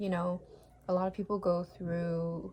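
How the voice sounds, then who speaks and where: A woman's medium-pitched voice with monotone, flat intonation. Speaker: vlogger. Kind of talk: casual advice monologue to camera. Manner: halting, many fillers.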